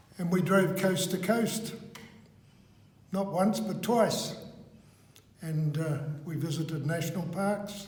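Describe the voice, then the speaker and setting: With a New Zealand accent, a man speaks at a very slow pace and a high pitch, pausing long and often over noticeable background noise. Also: ordinary pitch variation. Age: 80s+. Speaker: author and trainer. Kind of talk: interview answer.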